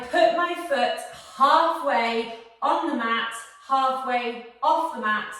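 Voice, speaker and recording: A woman's high-pitched voice at a very slow pace, lively intonation, audible room echo and noticeable background noise. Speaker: posture exercise instructor. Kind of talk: tutorial.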